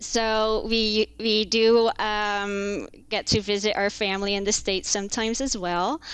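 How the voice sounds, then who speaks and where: A woman with an American accent speaks at a fairly slow pace and a medium pitch. The recording is very clean, with a silent background. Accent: American-sounding. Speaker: contract lawyer. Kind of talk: podcast interview. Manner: hesitant, many fillers.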